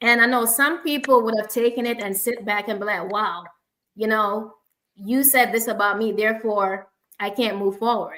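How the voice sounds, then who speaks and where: Here a woman speaks with a Jamaican accent at a moderate pace. Her fairly high, bright, sharp tone carries fairly even intonation. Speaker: speech language pathologist, forum host. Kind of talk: online panel discussion. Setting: live online stream.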